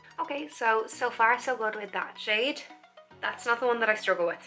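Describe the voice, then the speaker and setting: A woman speaks with music in the background. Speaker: makeup YouTuber. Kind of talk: makeup tutorial talk to camera.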